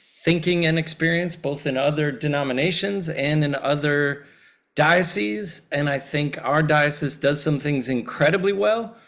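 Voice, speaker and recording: A man talks in an ordinary speaking voice at fairly high pitch. His pace is moderate and his pitch varies in an ordinary way. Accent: American. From US Midwest, Chicago area. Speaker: priest, clergy nominee. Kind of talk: candidate self-introduction at a meeting. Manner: casual, friendly.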